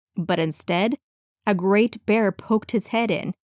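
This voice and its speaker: In a dry, close sound with no echo, a woman uses a normal speaking voice at a fairly slow pace with ordinary pitch variation. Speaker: voice actor. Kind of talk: audiobook fairy tale reading.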